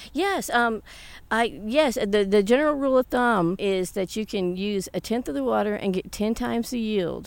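A woman's fairly high voice in an American accent, an unremarkable speaking voice with lively intonation at a moderate pace, in a very clean recording with a silent background. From US South. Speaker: hydroponic tomato farmer. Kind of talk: interview.

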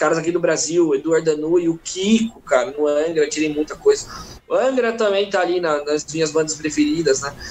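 There is noticeable background noise as a man speaks at a fairly quick pace. His voice is fairly high in pitch, with ordinary variation. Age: 20s. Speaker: guitarist and music teacher. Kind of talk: live interview chat. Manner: casual, slangy.

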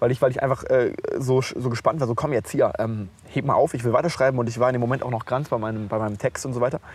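A man's very fast speech, medium in pitch, with fairly even intonation. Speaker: podcast co-host. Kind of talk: casual chat. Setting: outdoors on a park bench. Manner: relaxed.

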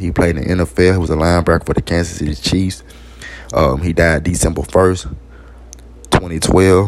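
Noticeable background noise sits behind a man with a very deep, low pitch who speaks at a moderate pace with ordinary pitch variation and long, frequent pauses. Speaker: podcast host. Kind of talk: informal solo talk. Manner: halting.

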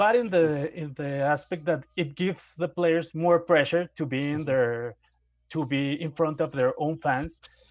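A man with a Spanish accent, fairly high pitch and fairly even intonation. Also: moderate pace. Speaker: sports journalist. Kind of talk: interview.

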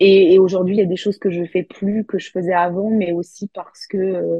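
A woman's ordinary speaking voice, medium in pitch, with fairly even intonation at a fairly slow pace. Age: 30s. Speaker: influencer. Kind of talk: interview.

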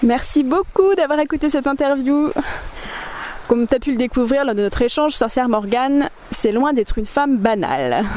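Noticeable background noise sits behind a woman's high voice. She speaks at a moderate pace with lively intonation. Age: 30s. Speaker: podcast host. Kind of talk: scripted narration; interview. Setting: outdoors by a river.

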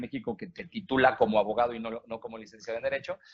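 Very fast speech in a Mexican accent over a quiet background. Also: man. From Mexico. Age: 40s. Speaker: lawyer and former theatre actor. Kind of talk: interview conversation.

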